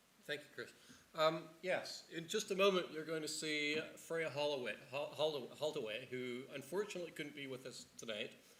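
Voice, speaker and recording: The voice moves at a moderate pace with ordinary pitch variation. Audible room echo surrounds it. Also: man, fairly high pitch for a man. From Canada. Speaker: neuroscience researcher. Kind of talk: panel discussion. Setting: stage with audience. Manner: halting, many repetitions.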